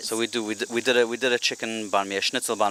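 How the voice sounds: The delivery is very fast, with fairly even intonation. There is a slight South African accent. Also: man. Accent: South African, mild.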